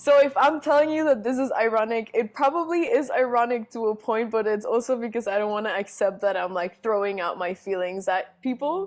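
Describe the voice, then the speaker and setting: A woman's fairly high pitch with lively intonation, at a fairly quick pace with hardly any pauses. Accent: Spanish. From Panama. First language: Spanish. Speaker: singer-songwriter and drummer. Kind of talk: casual interview chat.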